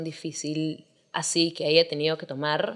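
A woman speaks at a moderate pace, her pitch fairly low. The background is quiet. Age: 20s. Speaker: singer; podcast guest. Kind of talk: casual chat. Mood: relaxed, candid. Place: home room. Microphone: studio mic.

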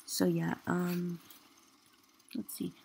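Soft-spoken, a woman talks at a fairly slow pace. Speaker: gaming video creator. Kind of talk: gameplay commentary. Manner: halting, many fillers.

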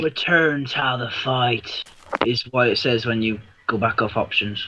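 A man uses a put-on character voice that is raspy, with a medium pitch and a moderate pace. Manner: mock-pirate, playful.

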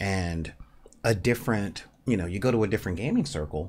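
With a fairly quick pace, a man talks at a low pitch, his slightly mellow tone moving with ordinary pitch variation.

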